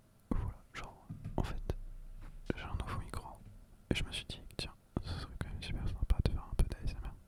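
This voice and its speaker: A man whispers at a fairly quick pace, with long, frequent pauses and noticeable background noise. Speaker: ASMR creator. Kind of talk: casual talk to camera.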